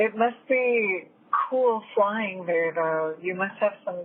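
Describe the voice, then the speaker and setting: Over noticeable background noise, a woman talks very slowly at a medium pitch with ordinary pitch variation. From Puerto Rico. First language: Spanish. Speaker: podcast host and student pilot. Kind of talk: casual interview conversation.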